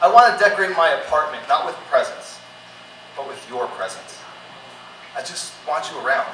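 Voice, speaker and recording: A man at a moderate pace, with big swings in loudness, long, frequent pauses and noticeable background noise. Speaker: spoken word poet. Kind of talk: spoken word performance. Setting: live concert venue.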